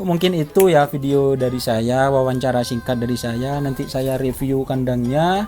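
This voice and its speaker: A man talks in a mid-range pitch. Background music plays throughout. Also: ordinary pitch variation, moderate pace, hardly any pauses. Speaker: YouTube vlogger covering bull racing. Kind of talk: casual vlog interview. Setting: outdoors at a cattle stable. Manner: informal, chatty.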